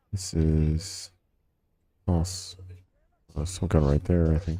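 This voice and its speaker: A man with a very deep, low pitch speaks at a very slow pace in a dark, mellow, somewhat breathy tone with monotone, flat intonation. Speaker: video game streamer. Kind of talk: gameplay commentary. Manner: casual, thinking aloud.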